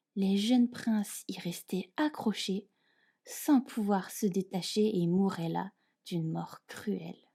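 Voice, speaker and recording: In a very clean recording with a silent background, a woman speaks very slowly in a somewhat breathy, dark, mellow tone, her medium pitch showing ordinary variation. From France. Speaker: French teacher. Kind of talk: fairy tale reading.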